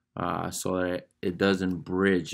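A man speaks very slowly in a very deep, low pitch. His intonation is monotone and flat, against a quiet background. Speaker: fabric covering instructor. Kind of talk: tutorial. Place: workshop. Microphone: phone near.

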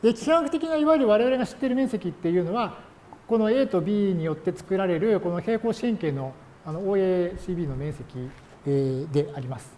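Noticeable background noise sits behind a man speaking at a moderate pace. His high-pitched voice makes very wide pitch swings. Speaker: university lecturer. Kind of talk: lecture. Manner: many filler words.

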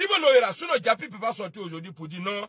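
A man speaks fast in a high voice, with big pitch swings and a bright, sharp tone carrying a slightly husky edge. The sound is dry and close, with no echo.

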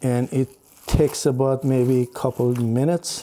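At a very slow pace, a man talks. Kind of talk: tutorial. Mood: calm, friendly. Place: kitchen. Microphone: lapel.

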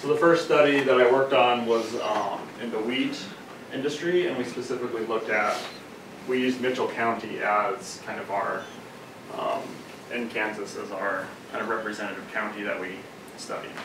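A man at a moderate pace with long, frequent pauses, ordinary pitch variation and noticeable background noise. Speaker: candidate. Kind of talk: lecture. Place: meeting room. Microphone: camera far.

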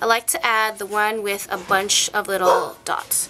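The voice belongs to a woman. Light background noise can be heard. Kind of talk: tutorial.

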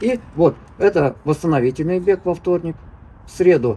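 A dark, mellow tone in a man's somewhat breathy voice. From Smolensk region, Russia; Russia. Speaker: veteran distance runner and coach; running coach guest. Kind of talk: interview; interview answer. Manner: halting.

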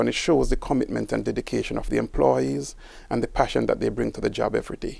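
A man talks at a very fast pace. The sound is dry with no echo. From Jamaica. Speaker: city water resources director; guest. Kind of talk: interview. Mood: warm, friendly. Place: studio. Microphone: lapel.

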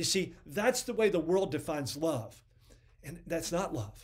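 Lively intonation marks a man's moderate-paced speech, with quiet behind him. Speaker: ministry program host. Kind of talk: sermon. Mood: earnest, occasionally playful. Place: home room.

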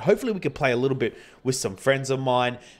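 A man rattles along at a very fast pace, his fairly high pitch carried by lively intonation. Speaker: gaming YouTuber. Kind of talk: let's play commentary. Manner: casual, with fillers.

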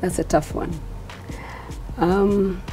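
Faint music plays in the background. Over it, a woman speaks at a fairly slow pace. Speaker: interview guest. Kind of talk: interview answer. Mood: calm, thoughtful. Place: studio. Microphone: lapel.

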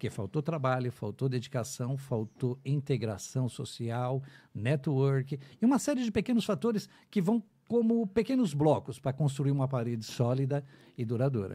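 A man's fairly high, somewhat breathy voice with a dark, mellow tone and lively intonation, over a quiet background. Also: moderate pace. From Brazil. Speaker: radio announcer. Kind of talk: casual chat. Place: studio. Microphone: studio mic.

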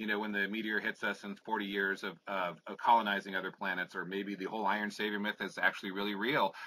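A man talking at a very fast pace. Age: 50s. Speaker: music journalist. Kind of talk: interview. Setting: video call.

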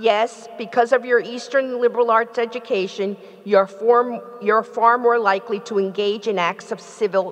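Fairly high in pitch, a woman talks at a moderate pace. Her intonation stays fairly even. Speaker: university president. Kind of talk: formal ceremony remarks; commencement speech. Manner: formal, measured. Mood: earnest, rousing. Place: hall. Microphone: podium.

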